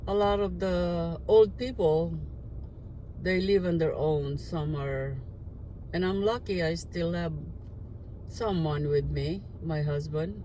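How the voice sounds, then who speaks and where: A woman speaks at a very slow pace, leaving long, frequent pauses, with audible room echo around her. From Philippines, raised partly in Guam. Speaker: retiree vlogger. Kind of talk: casual monologue vlog. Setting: in a car.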